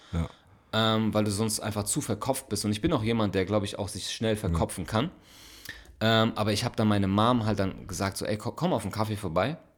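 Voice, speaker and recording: In a plain, everyday voice, a man speaks at a fairly quick pace with ordinary pitch variation. The recording is very clean, with a silent background. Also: fairly low pitch for a man. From Frankfurt, Germany. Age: 30s. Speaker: podcast co-host and bar owner. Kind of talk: casual chat. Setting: recording late at night at home.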